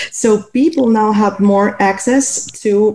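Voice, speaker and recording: A woman with a medium pitch talks while noticeable background noise carries on behind her. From Cuba. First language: Spanish. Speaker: blind community member. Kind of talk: interview.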